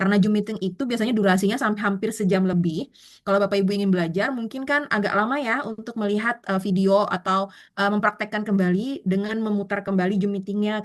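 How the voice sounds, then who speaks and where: A woman's medium-pitched voice at a very fast pace, with fairly even intonation and hardly any pauses. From South Kalimantan, Indonesia. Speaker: online Canva course instructor. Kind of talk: online class, live tutorial. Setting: Zoom meeting. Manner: casual, filler-heavy with frequent 'eh'.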